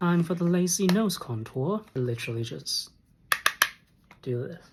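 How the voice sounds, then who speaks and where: Someone soft-spoken talks at a moderate pace over noticeable background noise. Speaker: makeup reviewer. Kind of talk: makeup review talk to camera.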